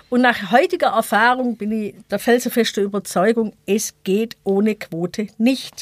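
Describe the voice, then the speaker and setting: With a normal speaking voice, a woman talks at a moderate pace and a fairly high pitch, with ordinary pitch variation in a dry, close sound with no echo. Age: 50s. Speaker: equal opportunities officer. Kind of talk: debate interview.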